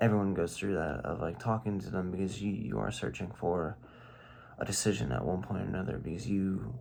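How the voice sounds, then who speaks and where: Soft-spoken and fairly quick, a man talks with a very deep, low pitch, lively intonation and vocal fry, with audible room echo around him. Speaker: video diarist. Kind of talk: casual vlog monologue. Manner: halting.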